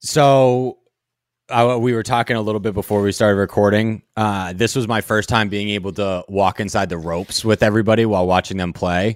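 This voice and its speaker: In an unremarkable speaking voice, a man talks at a fairly quick pace with fairly low pitch and fairly even intonation, recorded very cleanly with a silent background and a dry, close sound with no echo. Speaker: golf podcast host. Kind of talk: casual chat.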